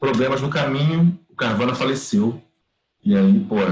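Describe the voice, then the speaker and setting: Fairly high male pitch with very wide swings up and down. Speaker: workshop teacher, TV producer. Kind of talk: online class lecture. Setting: video call. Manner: fast; animated.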